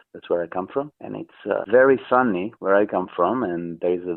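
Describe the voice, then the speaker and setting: A man speaks with an Italian accent. His pitch variation is ordinary. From southern Italy, Amalfi Coast. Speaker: artist. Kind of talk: radio interview.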